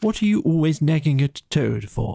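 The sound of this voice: A man puts on a character voice, fairly high in pitch with big swings and vocal fry, his tone dark and mellow. The sound is dry and close, with no echo.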